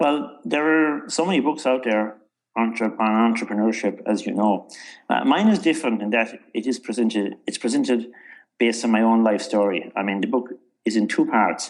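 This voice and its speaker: Music plays in the background while a man with a Cork accent speaks at a moderate pace and medium pitch with ordinary pitch variation. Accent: Irish (Cork). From Ireland, North County Cork. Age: 60s. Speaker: author and entrepreneur. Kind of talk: interview.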